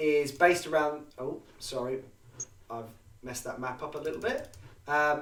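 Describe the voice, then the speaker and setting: A fairly high-pitched man with an English accent, ordinary pitch variation and a fairly slow pace, in audible room echo. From England. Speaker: history podcast host. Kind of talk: casual chat.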